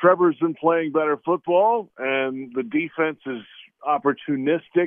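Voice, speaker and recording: Using a normal speaking voice, this man talks fairly high in pitch, and his pitch varies in an ordinary way. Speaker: football analyst. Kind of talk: casual sports talk.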